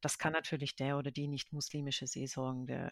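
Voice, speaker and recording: A woman speaks at a very deep, low pitch and a moderate pace. The recording is very clean, with a silent background. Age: 30s. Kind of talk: interview. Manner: hesitant, many fillers.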